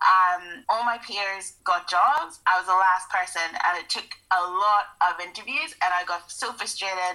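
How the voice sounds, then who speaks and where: A woman in a Northern Irish accent, medium in pitch with ordinary pitch variation, fairly slow but with hardly any pauses, over noticeable background noise. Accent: Northern Irish (Belfast). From Northern Ireland, Belfast. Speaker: artist. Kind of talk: casual chat.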